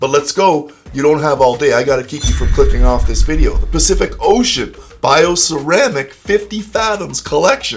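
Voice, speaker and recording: There is music in the background. A man speaks at a moderate pace. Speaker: watch reviewer. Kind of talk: product review narration. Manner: upbeat.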